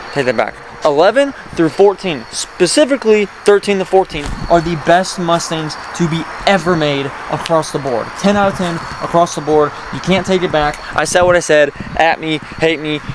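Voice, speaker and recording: A high-pitched man against noticeable background noise. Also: ordinary pitch variation, moderate pace. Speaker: car vlogger. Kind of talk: casual vlog talk. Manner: animated.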